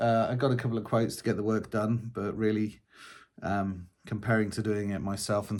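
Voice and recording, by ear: This man's voice sits fairly low in pitch and has a slightly mellow tone.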